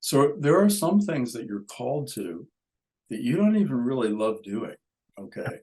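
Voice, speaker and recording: At a moderate pace, a man talks. His pitch swings very widely. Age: 70s. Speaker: author and yoga scholar. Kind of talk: interview conversation.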